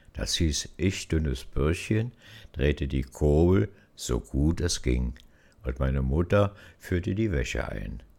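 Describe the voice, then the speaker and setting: A man with a very deep, low pitch, dark and mellow with vocal fry, speaks very slowly yet with lively intonation. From Berlin. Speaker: storyteller. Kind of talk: personal memoir narration.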